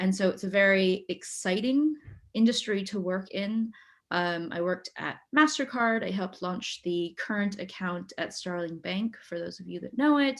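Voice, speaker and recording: On a very clean recording with a silent background, a woman with an American accent speaks at a moderate pace and a medium pitch, her intonation lively. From US West Coast, Silicon Valley. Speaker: fintech professional, alumni panelist. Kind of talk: panel introduction.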